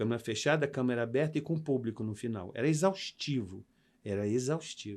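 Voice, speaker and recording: Speaking at a moderate pace with lively intonation, a man's medium-pitched voice comes through on a very clean recording with a silent background. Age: 60s. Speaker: actor and makeup artist. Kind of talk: interview. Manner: animated.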